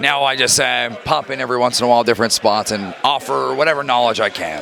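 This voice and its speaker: A man talks at a very fast pace with an American accent. Noticeable background noise sits behind him. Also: medium pitch for a man, ordinary pitch variation. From Rhode Island, US. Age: 20s. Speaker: professional wrestler. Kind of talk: backstage interview. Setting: backstage at wrestling show.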